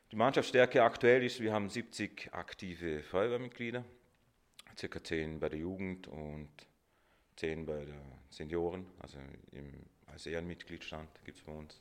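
Very deep and low in pitch, a man speaks at a fairly slow pace with lively intonation and long, frequent pauses. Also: big swings in loudness. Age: 30s. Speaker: volunteer fire chief and test engineer. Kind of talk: interview. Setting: office.

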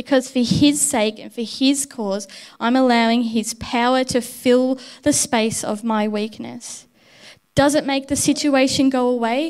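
In a very clean recording with a silent background, a woman with a high pitch talks at a fairly slow pace with fairly even intonation. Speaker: preacher. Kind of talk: sermon. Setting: church.

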